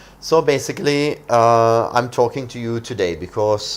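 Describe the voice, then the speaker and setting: In a Norwegian accent, a man talks at a fairly slow pace. He has a medium pitch with ordinary pitch variation. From Norway, coastal. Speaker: internet entrepreneur. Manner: hesitant, many fillers.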